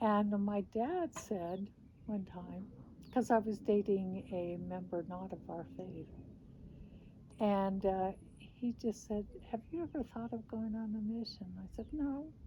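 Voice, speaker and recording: Speaking at a fairly slow pace, a woman with a medium pitch uses lively intonation in a somewhat breathy voice with a dark, mellow tone. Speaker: former missionary. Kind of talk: interview answer.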